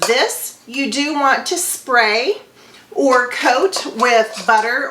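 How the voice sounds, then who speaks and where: Noticeable background noise sits behind a voice with lively intonation. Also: woman. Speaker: homemaking vlogger. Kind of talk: cooking tutorial.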